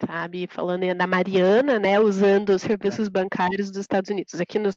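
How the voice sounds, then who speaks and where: A woman with a normal speaking voice and medium pitch talks at a fairly quick pace with fairly even intonation. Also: dry, close sound with no echo. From interior of São Paulo state, Brazil. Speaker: project manager. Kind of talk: interview.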